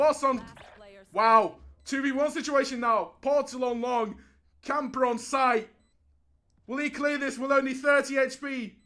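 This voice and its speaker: A man speaks in a raised, projected voice at an extremely high pitch, his tone bright and sharp. His intonation is fairly even and his pace fairly slow, broken by long, frequent pauses. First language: not English. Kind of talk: live commentary.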